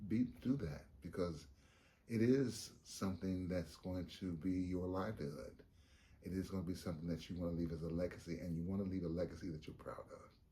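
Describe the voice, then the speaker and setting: In a room with audible echo, a man with a very deep, low pitch and a dark, mellow, somewhat breathy tone speaks at a fairly quick pace with ordinary pitch variation. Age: 70s. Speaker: veteran theater actor. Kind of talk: documentary interview.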